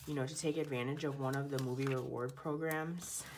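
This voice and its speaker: Amid audible room echo and noticeable background noise, a woman speaks at a moderate pace. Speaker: planner video creator. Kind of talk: casual tutorial. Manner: chatty, casual.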